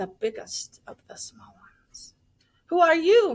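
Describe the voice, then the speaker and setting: Putting on a character voice, a woman growls at a fairly slow pace at an extremely high pitch. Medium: read story. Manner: growling, somber.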